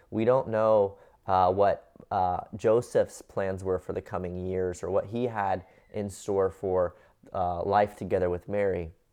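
A man with a Midwestern American accent speaks at a fairly slow pace in a dark, mellow tone, his fairly low pitch held in a monotone, flat intonation over a quiet background. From US Midwest (Cincinnati, Ohio). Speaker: pastor. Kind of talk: sermon. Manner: halting, many fillers.

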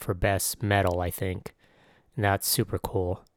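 A man with a fairly low pitch is heard on a very clean recording against a silent background. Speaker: podcast host and music producer. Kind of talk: casual solo monologue. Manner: casual with many fillers.

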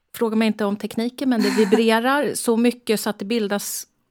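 A woman talks in a fairly high pitch. The recording is very clean, with a silent background. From Stockholm area, Sweden. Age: 60s. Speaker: breast cancer surgeon. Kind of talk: interview.

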